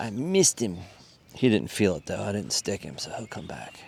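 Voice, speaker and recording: A man whispers at a moderate pace. His tone is relaxed. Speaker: fishing video creator. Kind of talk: outdoor fishing commentary. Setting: outdoors at a pond. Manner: casual, relaxed.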